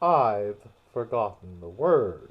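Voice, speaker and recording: The man does a put-on character voice at a middling pitch. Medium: read story. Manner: loud, brash.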